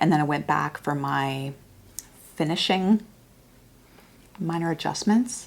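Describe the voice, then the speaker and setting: A woman with a Canadian accent speaks in a very deep, low voice with vocal fry. Her pitch varies in an ordinary way. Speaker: podcast co-host and yarn shop owner. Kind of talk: casual chat.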